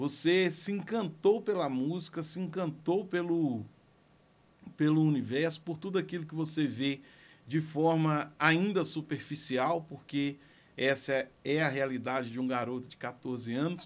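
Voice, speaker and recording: Speech comes fairly slowly, its pitch varying in an ordinary way. Behind it is total silence in a very clean recording. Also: man, fairly high pitch for a man. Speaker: music producer. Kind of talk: personal story monologue.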